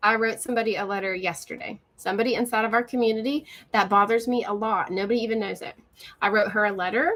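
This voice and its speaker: A woman talks very fast in an Appalachian accent, her pitch fairly high. Her tone is animated, with ordinary pitch variation. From West Virginia. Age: 40s. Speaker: social media coach. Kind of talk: live stream. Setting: live stream on video call.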